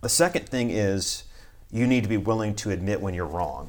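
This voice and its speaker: A man with an American accent and a normal speaking voice talks at a fairly quick pace, fairly low in pitch, with ordinary pitch variation. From US South, South Carolina. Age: 30s. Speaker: pastor. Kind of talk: casual interview.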